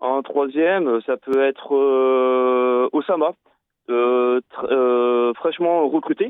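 A man speaks at a medium pitch and a very slow pace, with fairly even intonation and very even loudness. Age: 30s. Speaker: amputee football coach. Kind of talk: radio interview. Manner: halting.

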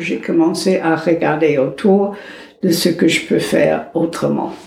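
Over noticeable background noise and audible room echo, a woman speaks at a very slow pace with a fairly low pitch. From United States. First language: English (speaking French). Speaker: psychologist. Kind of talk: interview.

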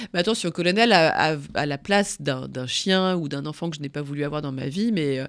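A woman with a very deep, low pitch at a moderate pace, in a very clean recording with a silent background. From northern France, Picardy. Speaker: veterinarian and journalist. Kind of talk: interview testimony. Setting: studio.

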